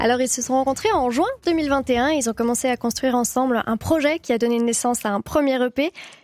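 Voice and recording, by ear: The delivery is fast, with ordinary pitch variation and a slightly mellow tone. The sound is dry and close, with no echo. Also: woman, high pitch for a woman.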